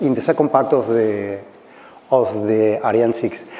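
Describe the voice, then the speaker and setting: A man speaks with a Spanish accent against noticeable background noise. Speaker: space startup engineer. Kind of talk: conference talk. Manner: halting.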